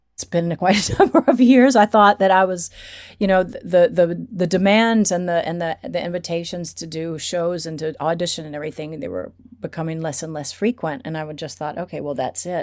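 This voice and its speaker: A woman with an unremarkable speaking voice talks at a fairly quick pace in a fairly low pitch, with ordinary pitch variation and big swings in loudness. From Atlanta, Georgia, US. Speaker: drag queen performer living in Paris. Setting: video call from Paris.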